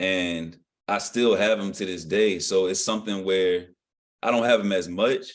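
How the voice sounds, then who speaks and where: An unremarkable speaking voice from a man with an American accent, fairly low in pitch, moderate in pace and fairly even in intonation. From southeastern Virginia, Norfolk area. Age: 20s. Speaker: rapper. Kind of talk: interview. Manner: casual.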